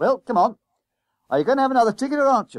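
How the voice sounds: In a put-on character voice, a man talks at a very fast pace. His pitch is extremely high, with big pitch swings.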